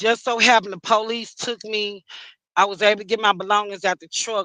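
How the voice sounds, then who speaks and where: A woman speaks at a fairly quick pace in a bright, sharp tone. The sound is dry and close, with no echo. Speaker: domestic violence survivor, truck driver. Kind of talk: testimony.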